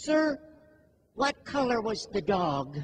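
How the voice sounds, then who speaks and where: A man performs a put-on character voice pitched high. His pitch swings very widely. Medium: stage play. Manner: overly polite, falsely humble.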